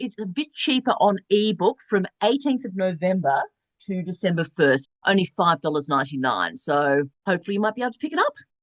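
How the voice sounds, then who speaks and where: A woman with an Australian accent talks at a fairly quick pace with very wide pitch swings. The sound is dry and close, with no echo. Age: 60s. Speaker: novelist. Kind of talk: interview.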